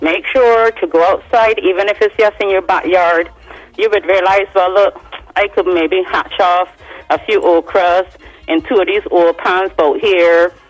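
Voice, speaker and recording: A woman speaks at a fairly slow pace in a medium pitch, with fairly even intonation and very even loudness. Noticeable background noise sits behind her. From Barbados (moved from Sweden as a child). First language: Swedish. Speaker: singer. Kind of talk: radio interview.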